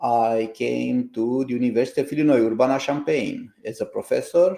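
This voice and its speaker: A man speaks at a fairly quick pace with a Romanian accent. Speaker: computer science professor and founder. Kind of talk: interview podcast.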